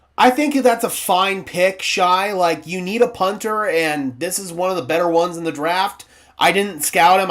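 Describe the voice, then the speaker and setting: Speaking with an American accent, the speaker barely pauses. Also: man. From US Southwest (southwestern New Mexico). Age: 20s. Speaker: sports streamer, football fan channel host. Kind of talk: live stream reaction and chat. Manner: casual, conversational.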